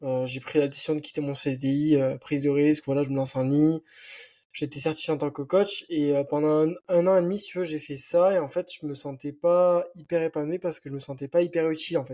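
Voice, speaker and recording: A man with a slight southwestern French accent speaks at a fairly quick pace in a dark, mellow tone, with a fairly high pitch and fairly even intonation, on a very clean recording with a silent background. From French Basque Country, near Biarritz. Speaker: entrepreneur and online fitness coach. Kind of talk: casual podcast interview. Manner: casual, many fillers.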